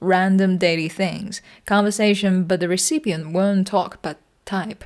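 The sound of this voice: A woman's medium-pitched, slightly mellow voice, fairly slow, with ordinary pitch variation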